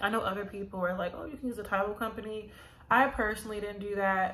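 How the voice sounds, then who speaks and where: A woman with an American accent speaks in a monotone, flat intonation. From Los Angeles. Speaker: YouTuber sharing property buying experience. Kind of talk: casual vlog tutorial; casual vlog chat. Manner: casual, many fillers. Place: home room. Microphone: phone near.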